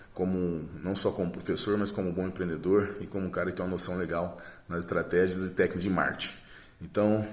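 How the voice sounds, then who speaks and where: Speaking in a flat monotone, a man with a very deep, low pitch moves at a fairly quick pace. Room echo is audible. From southern Brazil, Paraná. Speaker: dance teacher and school owner. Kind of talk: testimonial. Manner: hesitant, many fillers.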